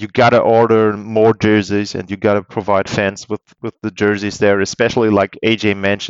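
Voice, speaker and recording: A man's fairly low voice with a German accent. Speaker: hockey podcast host. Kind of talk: casual interview. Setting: remote call.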